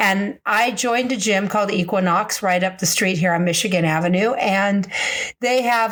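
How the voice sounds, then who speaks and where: Moderate pace with ordinary pitch variation. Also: woman. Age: 60s. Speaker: podcast host. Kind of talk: casual podcast monologue. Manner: animated.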